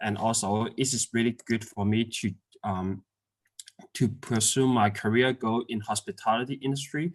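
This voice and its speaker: Someone with a non-native accent speaks at a moderate pace, the sound dry and close with no echo in a very clean recording over a silent background. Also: man, medium pitch for a man, fairly even intonation. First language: not English. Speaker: migrant hotel worker. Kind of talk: interview. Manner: halting, many fillers.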